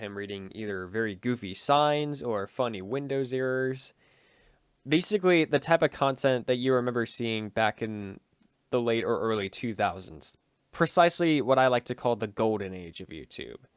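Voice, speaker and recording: Recorded very cleanly against a silent background with a dry, close sound and no echo, a man of medium pitch talks at a moderate pace with lively intonation and big swings in loudness. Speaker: YouTuber. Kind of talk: casual vlog talk to viewers. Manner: hesitant, many filler words.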